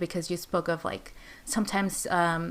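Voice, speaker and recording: With an American accent and a normal speaking voice, a woman at medium pitch talks at a moderate pace on a very clean recording with a silent background. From California, with early childhood in Mexico. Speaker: podcast co-host. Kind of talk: casual chat.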